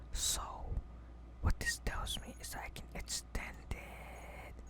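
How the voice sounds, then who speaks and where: Someone soft-spoken is whispering over noticeable background noise. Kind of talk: casual gaming commentary, ASMR style. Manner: soft whispering.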